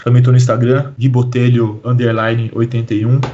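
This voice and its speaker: A man talks at a moderate speed, and background noise is noticeable throughout. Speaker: hip hop historian and teacher. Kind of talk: podcast interview.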